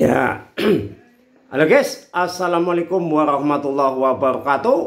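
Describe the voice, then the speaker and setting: It is a plain, everyday voice from a man at a fairly slow pace. His pitch variation is ordinary, and the background is quiet. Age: 50s. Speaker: YouTuber, sports scheduling tutorials; sports schedule vlogger. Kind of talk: tutorial. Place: home room. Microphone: phone near.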